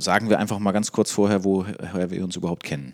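Recorded very cleanly against a silent background, a man speaks with a very deep, low pitch in a dry, close sound with no echo. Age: 30s. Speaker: podcast host. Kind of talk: casual interview.

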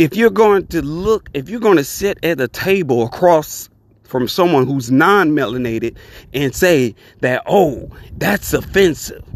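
At a fairly slow pace, a man speaks in a normal speaking voice with a fairly high pitch. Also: lively intonation. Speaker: podcast host. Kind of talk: opinion monologue podcast, rising to an angry rant near 23:50. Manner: worked-up, loud and indignant, blunt and profane; casual, conversational, welcoming.

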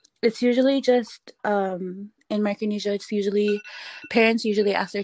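A woman with a Palauan accent speaks at medium pitch and a moderate pace, her intonation monotone and flat. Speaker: artist and entrepreneur. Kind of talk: casual interview.

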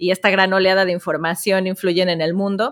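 A woman's medium-pitched voice with a Mexican accent, moderate pace, and monotone, flat intonation. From Mexico. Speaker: entrepreneur and author. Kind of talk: interview.

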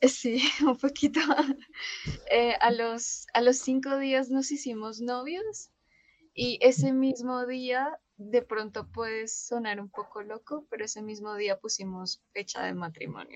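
A woman with a high pitch speaks at a very slow pace, her loudness swinging widely. Her pitch varies in an ordinary way against a quiet background. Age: 20s. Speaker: social worker and bereaved mother. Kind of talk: testimony.

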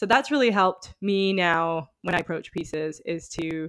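Against a quiet background, a woman with a fairly low pitch and an unremarkable speaking voice is recorded in a dry, close sound with no echo. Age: 30s. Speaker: podcast co-host and dancer. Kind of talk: casual chat.

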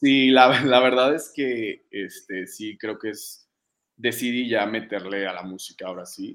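At a very slow pace, a man talks with fairly even intonation and a medium pitch. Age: 20s. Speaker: singer and fitness influencer. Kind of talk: casual interview.

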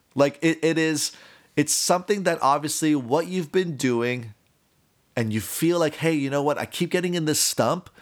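This man has an American accent and a fairly high pitch with ordinary variation. He talks at a moderate pace in a very clean recording with a silent background. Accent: Miami Cuban American English. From US, Miami (Cuban American). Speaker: podcast host. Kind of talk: casual monologue.

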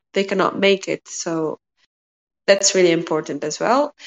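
Woman's medium-pitched voice, its pitch varying in an ordinary way. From Tunisia. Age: 20s. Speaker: master's student. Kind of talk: casual talk.

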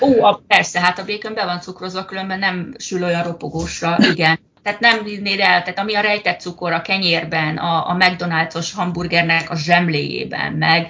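With noticeable background noise behind her, a woman speaks at a moderate pace and a fairly low pitch with fairly even intonation. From Hungary. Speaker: project manager in healthcare, emigrant. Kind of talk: interview.

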